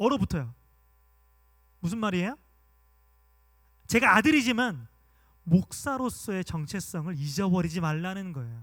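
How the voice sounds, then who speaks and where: A man's raised, projected voice with a bright, sharp tone, very wide pitch swings, a moderate pace and long, frequent pauses. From Gwangju, South Korea. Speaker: pastor. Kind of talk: sermon.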